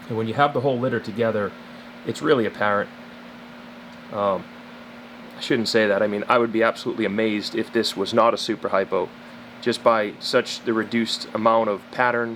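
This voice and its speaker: Over noticeable background noise, a man speaks at a medium pitch and a fairly quick pace in a monotone, flat intonation, with long, frequent pauses. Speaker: snake breeder. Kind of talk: casual talk to camera.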